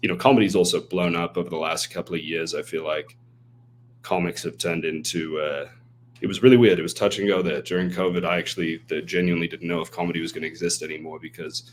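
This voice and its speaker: With an American accent, a man with a very deep, low pitch talks at a very fast pace. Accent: often mistaken for Australian. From half English, half American. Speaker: email marketer and stand-up comedian. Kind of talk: podcast interview. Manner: animated.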